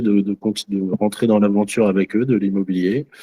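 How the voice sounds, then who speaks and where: A man talks fairly slowly in a fairly low, dark, mellow voice, the sound dry and close with no echo. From France, Loiret (Centre region). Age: 30s. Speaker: trainee real estate agent. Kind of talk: group introduction in training session. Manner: hesitant, many fillers.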